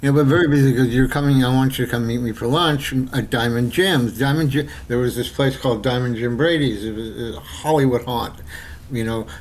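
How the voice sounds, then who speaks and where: American-accented male speech, medium in pitch, fairly quick, with ordinary pitch variation. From New York City. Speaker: screenwriter and filmmaker. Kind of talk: casual interview storytelling. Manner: halting with many repetitions and fillers.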